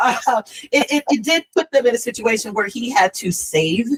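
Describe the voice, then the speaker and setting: Her voice somewhat breathy and her intonation lively, a woman talks with an American accent in a dry, close sound with no echo. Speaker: author. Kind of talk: casual chat. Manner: halting.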